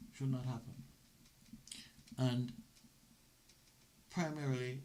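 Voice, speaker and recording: The man's somewhat breathy speech carries audible room echo. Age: 70s. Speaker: former police officer turned lawyer. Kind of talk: interview conversation.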